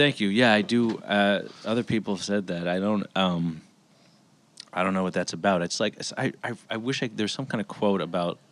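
A man with an American accent has an ordinary speaking voice at a fairly low pitch. He talks at a moderate pace with ordinary pitch variation. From US West Coast, Los Angeles. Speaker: comedian. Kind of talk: casual chat.

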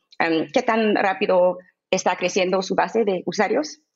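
With a non-native accent, a woman talks at a medium pitch. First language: English (speaking Spanish). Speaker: crypto investment fund executive. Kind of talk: interview. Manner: halting with filler sounds.

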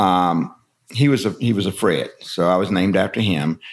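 A man talks with a Kentucky Appalachian accent. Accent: Kentucky Appalachian Southern US. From Kentucky, Breathitt County. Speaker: bourbon distillery storyteller. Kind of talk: casual interview storytelling.

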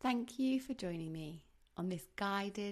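An unremarkable speaking voice moves at a fairly slow pace. The intonation is lively. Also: woman. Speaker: midwife. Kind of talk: guided meditation. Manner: soft, slow, soothing; calm, gently paced.

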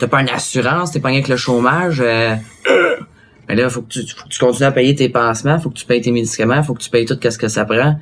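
Over noticeable background noise, a man with a medium pitch talks at a fairly quick pace with fairly even intonation. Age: 20s. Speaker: interview guest. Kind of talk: interview.

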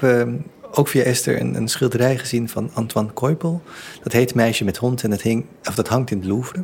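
Over noticeable background noise, a man speaks at a medium pitch with ordinary pitch variation. He keeps a moderate pace. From Netherlands, Surinamese family. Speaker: theatre director and exhibition curator. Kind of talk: interview. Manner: halting, many repeated words.

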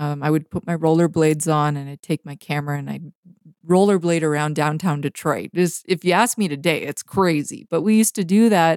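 Speaking at a fairly quick pace with a Canadian accent, a woman has a very deep, low pitch and ordinary pitch variation, heard dry and close with no echo. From Canada, Vancouver BC (North Shore). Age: 30s. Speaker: photographer. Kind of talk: interview conversation. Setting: remote recording from home.

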